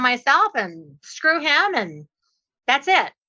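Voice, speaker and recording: Raised, projected female speech, its tone bright and sharp, its pitch swinging very widely. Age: 60s. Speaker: real estate investor and trainer. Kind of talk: podcast interview.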